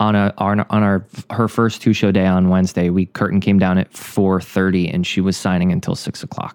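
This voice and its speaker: A man with a very deep, low pitch speaks in a monotone, flat intonation. He goes at a fairly quick pace with hardly any pauses. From Rhode Island. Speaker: podcast co-host, stage actor. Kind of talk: casual chat.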